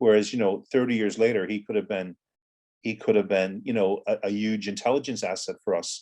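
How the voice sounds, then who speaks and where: A man talks with an American accent. His pace is fairly quick. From Ireland, raised from teens after US childhood. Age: 60s. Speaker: former militant and author. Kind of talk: interview.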